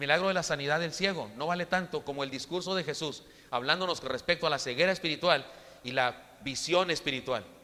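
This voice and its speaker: A fairly high male voice, bright and sharp in tone, at a fairly quick pace with ordinary pitch variation. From Chihuahua, northern Mexico. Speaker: preacher. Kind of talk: sermon. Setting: church. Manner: halting, frequent repetitions.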